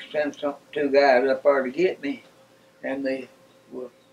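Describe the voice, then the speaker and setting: With an East Tennessee accent, a man speaks at a very slow pace. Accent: East Tennessee Southern. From Knoxville, Tennessee. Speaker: World War II veteran. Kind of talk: interview answer.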